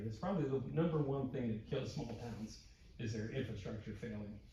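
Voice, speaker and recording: Audible echo of the room and noticeable background noise behind a man talking. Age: old. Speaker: retired water utility manager, public commenter. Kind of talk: public comment at city council meeting. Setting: city council meeting. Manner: halting, repeats words.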